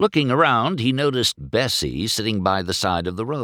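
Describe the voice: The speaker reads aloud plainly. The intonation is lively.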